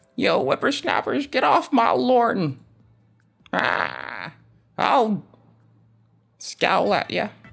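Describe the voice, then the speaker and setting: A put-on character voice, pitched fairly high, moves at a very slow pace. Long pauses come often. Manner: scowling, crotchety.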